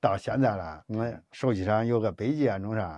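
Against a quiet background, a man with a Henan accent speaks at a fairly slow pace and a fairly low pitch. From China, Henan. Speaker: laid-off factory worker turned driver. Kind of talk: casual chat.

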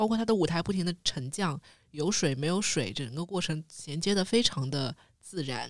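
The intonation is lively. A woman delivers it at a moderate pace. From Shanghai. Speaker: podcast co-host. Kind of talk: casual chat.

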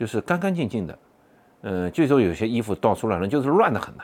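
This man's intonation is lively. His speech rises and falls with energy. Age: 40s. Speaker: podcaster. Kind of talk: personal storytelling monologue. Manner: halting, many fillers.

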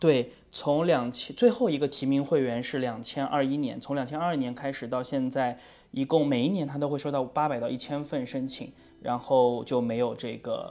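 Spoken at a moderate pace, this is a very clean recording with a silent background. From China. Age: middle-aged. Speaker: photography student and podcast co-host. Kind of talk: casual chat. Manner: repetitive, halting.

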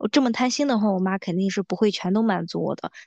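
A woman talks in a plain, everyday voice at a medium pitch. Her pace is fairly quick and her intonation fairly even. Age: 20s. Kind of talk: casual chat.

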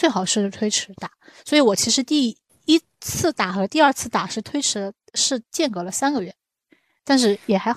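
Over a quiet background, a woman speaks at a moderate pace in a plain, everyday voice with lively intonation. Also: fairly high pitch for a woman. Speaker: podcast host. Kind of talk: casual chat.

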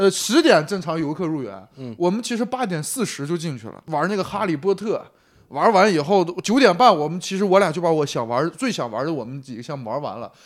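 Speaking at a fairly quick pace, a man with a high pitch swings widely in pitch and shows big swings in loudness. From Shanxi. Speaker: podcast co-host. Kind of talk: casual chat.

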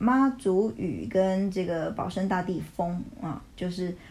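Somewhat breathy tones mark the voice. The speaker is a woman. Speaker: educator. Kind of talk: casual chat.

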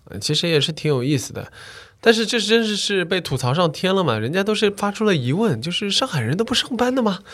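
The speech races along at a very fast pace with very wide pitch swings. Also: man, high pitch for a man. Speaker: coffee business owner. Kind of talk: casual chat.

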